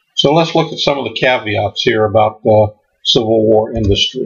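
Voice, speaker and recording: Somewhat breathy, this voice keeps a moderate tempo while its pitch shifts in an ordinary way. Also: man. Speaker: history presenter. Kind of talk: lecture. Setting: stage with audience. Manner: uses frequent filler words.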